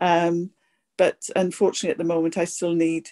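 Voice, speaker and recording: A voice with a Welsh accent is heard against a quiet background. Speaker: kidney cancer patient. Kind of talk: patient question in webinar. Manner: halting.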